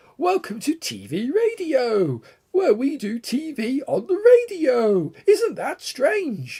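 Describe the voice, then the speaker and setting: This is a put-on character voice with a high pitch and a cheerful tone. It moves at a fairly slow pace. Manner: eccentric, put-on, oddly cheerful.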